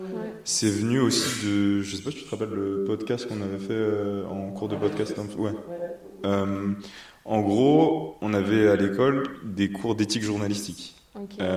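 Fairly slow delivery with ordinary pitch variation and audible room echo. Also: man, fairly low pitch for a man. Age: 20s. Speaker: journalist and business co-founder. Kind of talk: casual interview. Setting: kitchen showroom.

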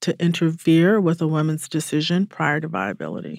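An ordinary speaking voice from a woman with an American accent, fairly low pitch and fairly even intonation, in a dry, close sound with no echo. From US South, Atlanta, Georgia. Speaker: civil rights lawyer, advocacy director. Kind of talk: interview. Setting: studio.

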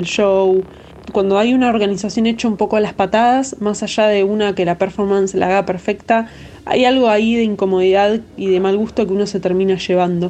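With a dark, mellow tone and medium pitch, a woman speaks at a moderate pace in a flat, monotone intonation. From Argentina. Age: 30s. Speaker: DJ and music producer. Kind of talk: interview. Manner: halting, many fillers.

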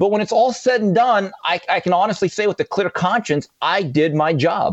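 A high-pitched man with a Californian accent, lively intonation and a moderate pace. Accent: American (California). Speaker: boxing broadcaster and sports writer. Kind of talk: casual chat.

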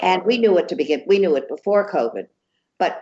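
Speaking in an American accent, a woman has a medium pitch. Her pitch swings very widely. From US Northeast, New York City.

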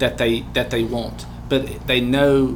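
A man's voice over noticeable background noise. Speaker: podcast host and small business owner. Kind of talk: interview conversation. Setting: studio.

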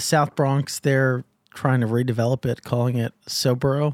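The speaker has an American accent. The pace is fairly slow and the intonation fairly even. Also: man. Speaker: podcast host, crypto journalist. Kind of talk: interview.

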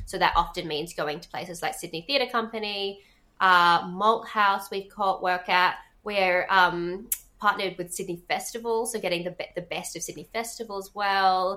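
A woman with an Australian accent talks in a bright, sharp tone with fairly even intonation and big swings in loudness, on a very clean recording with a silent background. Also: medium pitch for a woman, moderate pace. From Western Australia, Perth. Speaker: theatre producer and director. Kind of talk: casual chat.

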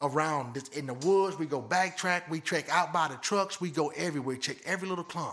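A man speaks at a fairly quick pace with hardly any pauses, in an ordinary speaking voice. His pitch is fairly high, with ordinary pitch variation. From Michigan. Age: 50s. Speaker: blood tracking dog handler. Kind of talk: casual interview.

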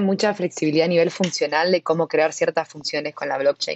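A woman with an Argentine accent talks at a fairly quick pace in a fairly low voice, with ordinary pitch variation. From Argentina. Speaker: tech product manager at a web3 startup. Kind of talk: interview.

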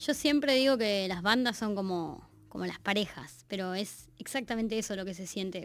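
A woman's normal speaking voice at a medium pitch and fairly quick pace, with ordinary pitch variation, in a very clean recording with a silent background. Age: 30s. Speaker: musician. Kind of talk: casual chat.

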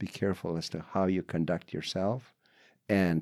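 A man with a very deep, low pitch and fairly even intonation is heard in a very clean, silent-background recording with a dry, close sound and no echo. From British Columbia coast, Canada. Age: 70s. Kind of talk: interview storytelling.

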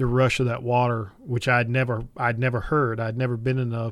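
A man with a Southern US accent speaks at a moderate pace and medium pitch in a monotone, flat intonation, on a very clean recording with a silent background. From North Carolina Piedmont. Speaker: outdoor podcast host, bow hunter and fly fisher. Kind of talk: casual interview chat. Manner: halting, many repetitions and fillers.

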